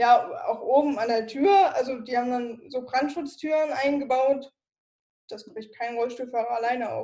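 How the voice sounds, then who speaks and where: Her tone dark and mellow, a woman talks at a high pitch and a fairly slow pace, her loudness swinging widely. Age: 20s. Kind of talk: interview.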